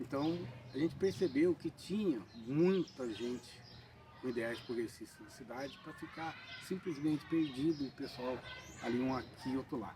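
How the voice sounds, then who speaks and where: Speaking at a moderate pace, a man uses a fairly high pitch with ordinary pitch variation. His loudness swings widely, and his pauses are long and frequent. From Brazil, São Paulo state (São Bento do Sapucaí). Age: 60s. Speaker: party activist. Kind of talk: documentary interview.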